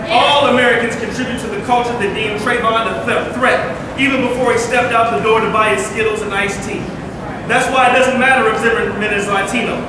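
Through strong room echo and noticeable background noise, a man talks at a very fast pace. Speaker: rally speaker. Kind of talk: rally speech.

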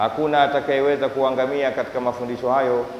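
Fairly quick, monotone and flat, the speech has audible room echo and light background noise. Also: man. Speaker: preacher. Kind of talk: sermon. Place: church. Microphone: handheld.

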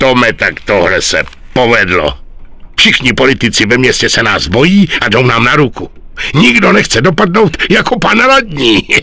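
Over light background noise, a man at medium pitch speaks with very wide pitch swings. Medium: fan dub. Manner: calm, authoritative.

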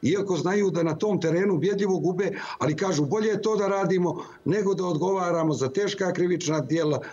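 Racing along at a very fast pace, a man speaks at a high pitch with very even loudness. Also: fairly even intonation. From Montenegro. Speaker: opposition politician. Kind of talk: live TV interview. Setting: remote link into TV studio. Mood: critical, earnest political argument. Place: office. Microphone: video call.

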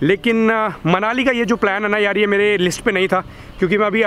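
With a high pitch and fairly even intonation, a man speaks in a dry sound with no echo over light background noise. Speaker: motorcycle travel vlogger. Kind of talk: casual vlog chat. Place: street. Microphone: phone near.

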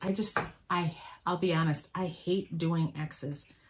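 A woman speaks at a fairly slow pace in a fairly low pitch with ordinary pitch variation, over noticeable background noise. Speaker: quilting vlogger. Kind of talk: casual tutorial chat. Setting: home sewing room, video. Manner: casual, hesitant with fillers.

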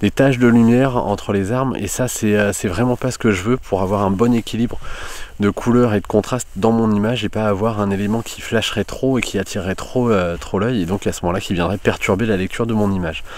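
A man talks at a fairly quick pace in a normal speaking voice, fairly low-pitched with fairly even intonation. The recording sounds dry with no echo. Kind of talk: tutorial. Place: forest. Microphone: phone near.

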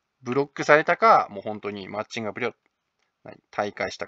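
A fairly quick man's voice, medium in pitch. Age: 30s. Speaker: manga artist and video blogger. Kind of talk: casual monologue vlog. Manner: casual, hesitant with many fillers.

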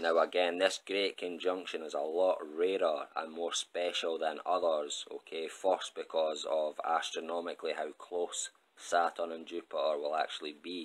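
A man with a Scottish accent talks at a moderate pace, hardly pausing at all. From Scotland. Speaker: astrology YouTuber. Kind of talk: solo video monologue.

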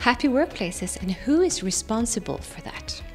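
A woman talks at a moderate pace while faint music sits in the background. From Sweden. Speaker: workplace happiness consultant and speaker. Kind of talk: event promo talk to camera. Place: studio. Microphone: handheld.

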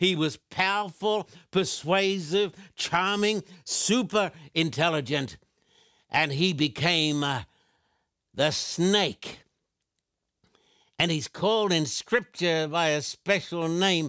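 A man's bright, sharp voice at a very slow pace, with long, frequent pauses, ordinary pitch variation and a quiet background. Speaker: TV evangelist. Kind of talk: sermon. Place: studio.

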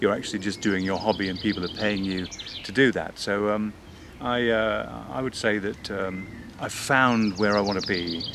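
A man's fairly low voice with ordinary pitch variation, dry with no echo, amid noticeable background noise. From Northern Ireland. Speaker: voice actor. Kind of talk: interview answer. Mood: relaxed, reflective. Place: garden.

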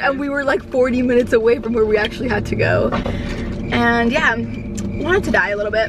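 A woman speaks at a fairly quick pace with a fairly high pitch and ordinary pitch variation. Background noise is clearly audible.

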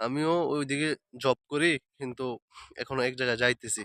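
A man's monotone, flat delivery comes through with a dry, close sound and no echo. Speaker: vlogger. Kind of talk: vlog monologue. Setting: outdoors.

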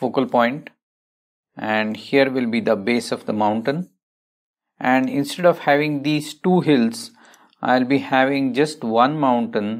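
A man speaks at a fairly slow pace with long, frequent pauses and ordinary pitch variation against a quiet background. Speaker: painting instructor. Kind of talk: tutorial.

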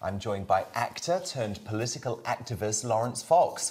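Light background noise sits under a man's voice. He speaks at a moderate pace, fairly low in pitch and somewhat breathy. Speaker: TV presenter. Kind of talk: broadcast presenting and interview question. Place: studio.

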